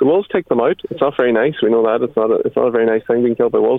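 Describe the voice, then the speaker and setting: A man with a Donegal accent at a very fast pace, amid noticeable background noise. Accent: Donegal Irish. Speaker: animal sanctuary founder. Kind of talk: casual chat. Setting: phone call.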